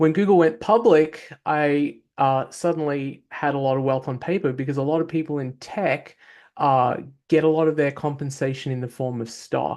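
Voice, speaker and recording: In an Australian accent, a man speaks at a moderate pace with a fairly high pitch and ordinary pitch variation against a quiet background. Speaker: tech entrepreneur. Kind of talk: panel discussion.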